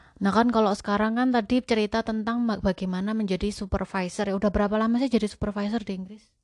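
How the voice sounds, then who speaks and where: A woman's medium-pitched, monotone, flat voice at a very fast pace against a quiet background. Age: 30s. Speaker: podcast host, homemaker. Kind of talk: casual chat.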